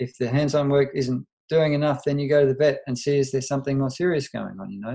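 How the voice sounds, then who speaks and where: A man's somewhat breathy, dark, mellow voice, fairly high in pitch, with an Australian accent. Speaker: veterinarian. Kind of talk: interview.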